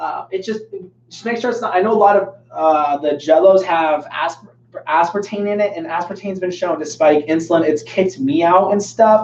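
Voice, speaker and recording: Here a man speaks in a high pitch with ordinary pitch variation. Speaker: fitness coach and personal trainer. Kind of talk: live Q&A stream. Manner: fast; casual, filler-heavy.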